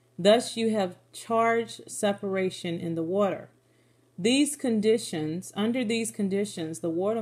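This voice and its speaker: On a very clean recording with a silent background, a woman speaks fairly slowly in a medium pitch. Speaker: religious video blogger. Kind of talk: Bible study talk, partly read from notes. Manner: monotone when reading notes; repeats words, self-corrects.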